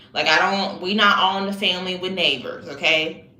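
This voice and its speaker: A woman's fairly quick speech comes through audible room echo and noticeable background noise. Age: 20s. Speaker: livestreamer. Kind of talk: casual chat.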